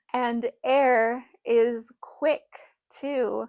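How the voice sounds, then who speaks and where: Mumbling with fairly even intonation, a woman is heard in a dry, close sound with no echo. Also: very clean recording, silent background. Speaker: witchcraft teacher. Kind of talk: tutorial.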